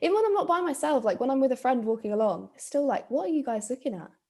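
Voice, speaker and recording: Speaking at a very fast pace, a woman with a British accent uses lively intonation and a high pitch. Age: 20s. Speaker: podcast host. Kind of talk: casual chat.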